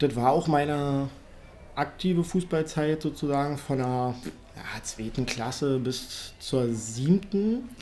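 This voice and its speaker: Dark and mellow, this man's fairly high voice moves at a very slow pace. His pitch varies in an ordinary way. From Berlin. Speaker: BMX ramp builder. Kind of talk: casual chat.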